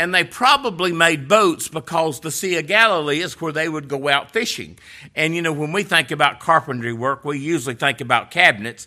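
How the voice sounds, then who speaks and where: A man's fairly high, bright, sharp voice with lively intonation, a fairly quick pace and hardly any pauses, on a very clean recording with a silent background. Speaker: preacher. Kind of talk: sermon. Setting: church.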